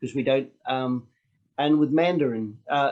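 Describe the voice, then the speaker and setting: A man with a New Zealand accent and fairly high pitch, at a moderate pace with fairly even intonation. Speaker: street activist. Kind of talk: online Q&A session.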